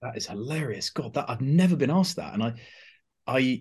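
Moderate pace and ordinary pitch variation in a man's somewhat breathy voice. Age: 30s. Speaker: writer and watch host. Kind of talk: casual interview chat.

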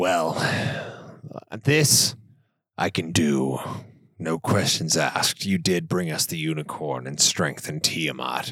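Someone does a put-on character voice at a fairly slow pace with long, frequent pauses. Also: man, very deep, low pitch for a man. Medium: actual play. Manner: measured, authoritative.

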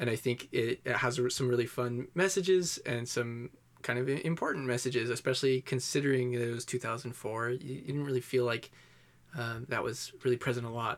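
A man speaks at a fairly quick pace in a medium pitch. He has a normal speaking voice. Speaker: podcast guest reviewer. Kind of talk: casual comedic chat. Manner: joking, deadpan.

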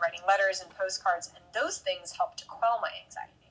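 An unremarkable speaking voice from a woman with an American accent, medium in pitch, at a fairly quick pace. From US, parents from the South and Jersey City. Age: 30s. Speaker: meditation and yoga teacher. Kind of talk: casual chat.

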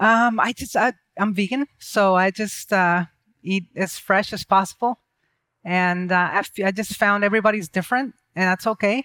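A woman with a medium pitch speaks at a moderate pace in a bright, sharp tone with fairly even intonation. The recording is very clean, with a silent background and a dry, close sound with no echo. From Mexico. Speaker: entrepreneur and speaker. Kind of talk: interview. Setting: studio with audience.

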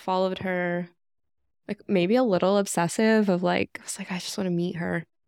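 The speech comes in a monotone with flat intonation, the sound dry and close with no echo. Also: woman. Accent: American. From US South, North Carolina (near Raleigh). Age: 30s. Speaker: project manager, former teacher. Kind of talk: casual chat.

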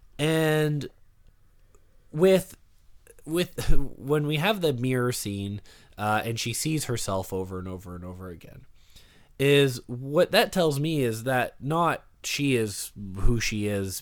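With a Canadian accent, the speaker goes very slowly with long, frequent pauses, very wide pitch swings and big shifts in loudness on a very clean recording with a silent background. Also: man, medium pitch for a man. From Canada. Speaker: podcaster, film discussion guest. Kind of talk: casual chat.

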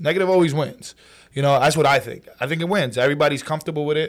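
This man talks at a very fast pace with a New York accent. His pitch is fairly high, with ordinary variation. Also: very clean recording, silent background. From New York City, Brooklyn and Queens. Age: 20s. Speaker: social media comedian. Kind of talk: casual chat. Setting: studio.

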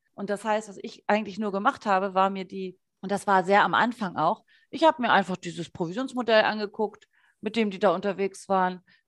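Against a quiet background, a woman with a normal speaking voice and a medium pitch talks at a moderate pace. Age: 30s. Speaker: essential oils distributor, former radio ad sales. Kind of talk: casual interview chat.

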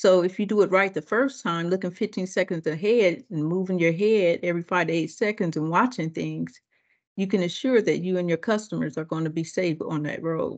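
A woman with an American accent uses a normal speaking voice, fairly low in pitch, at a fairly quick pace. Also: ordinary pitch variation, quiet background. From Ohio, US Midwest. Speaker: district manager, former bus driver. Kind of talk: interview.

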